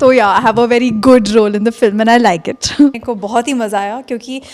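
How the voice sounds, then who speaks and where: High pitch from a woman, fairly even in intonation and moderate in pace. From northern India, Maharashtrian family from Madhya Pradesh. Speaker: film actress. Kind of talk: press interview.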